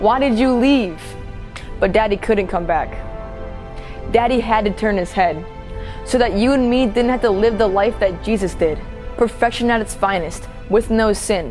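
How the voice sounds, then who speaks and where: Over music in the background, a woman with a fairly high-pitched voice speaks with long, frequent pauses. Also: ordinary pitch variation, moderate pace. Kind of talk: spoken word poetry performance. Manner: impassioned, testimonial.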